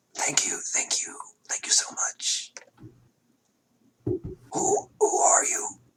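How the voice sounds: Whispering in a raspy, put-on character voice, a man goes at a very slow pace with long, frequent pauses.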